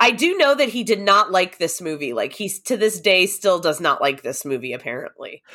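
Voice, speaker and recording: With vocal fry and a bright, sharp tone, a woman at medium pitch talks at a fairly quick pace, her pitch swinging very widely and hardly any pauses breaking her speech. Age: late 30s. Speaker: horror podcaster. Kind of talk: casual chat. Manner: casual, frequent 'like' fillers.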